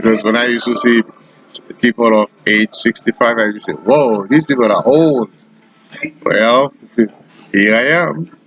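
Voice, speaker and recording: A man at medium pitch and a moderate pace, with long, frequent pauses, a dry, close sound with no echo, and noticeable background noise. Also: ordinary pitch variation. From Haiti. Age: 60s. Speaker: retired computer professional. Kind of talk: interview. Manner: hesitant with fillers.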